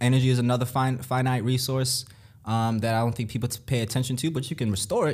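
A somewhat breathy man's voice at a medium pitch, in a very clean recording with a silent background. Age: 20s. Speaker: real estate investor. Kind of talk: casual interview.

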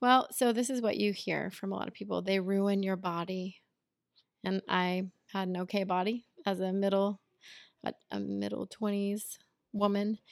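A woman speaks at a moderate pace in a medium pitch. Her intonation is monotone and flat, broken by long, frequent pauses. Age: 30s. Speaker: podcast co-host, stay-at-home mother. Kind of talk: casual chat between spouses.

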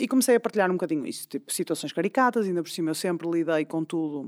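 Delivered at a very fast pace, the speech has a dry, close sound with no echo in a very clean recording with a silent background. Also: woman. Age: 30s. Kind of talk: casual chat.

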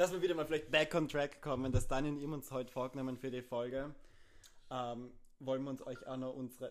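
The voice is a plain, everyday voice, moving at a fairly quick pace with fairly even intonation. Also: man, medium pitch for a man. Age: 20s. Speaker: podcast co-host, linguistics student. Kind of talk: casual chat.

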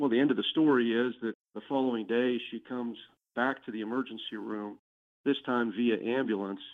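An ordinary speaking voice from a man, medium in pitch, with fairly even intonation and a fairly quick pace. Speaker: personal injury lawyer. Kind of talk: podcast interview.

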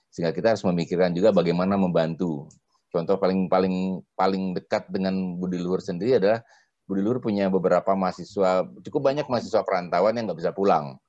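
A man's very deep, low voice, dark and mellow in tone, at a very fast pace with ordinary pitch variation. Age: 50s. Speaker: university rector. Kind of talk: casual chat. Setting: recorded at home.

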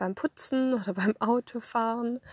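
Dry and close with no echo over a quiet background, a woman speaks at a fairly slow pace and fairly high pitch with ordinary pitch variation. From Swabia, southern Germany. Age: 30s. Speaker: podcaster and social media creator. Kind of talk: casual personal monologue. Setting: in a parked car. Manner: hesitant, many filler sounds. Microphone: phone recording via app.

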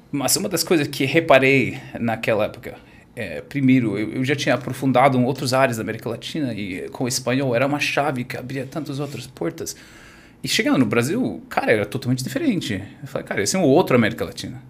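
Medium-pitched, a man's voice races along at a very fast pace. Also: ordinary pitch variation. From US, California (Orange County). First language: English (speaking Portuguese). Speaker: wine e-commerce entrepreneur. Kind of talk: interview. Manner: halting.

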